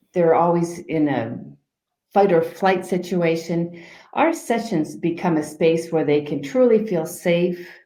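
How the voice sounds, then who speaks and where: A woman's fairly low-pitched voice, dark and mellow in tone, at a fairly slow pace amid audible room echo. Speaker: life coach. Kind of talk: interview. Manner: calm.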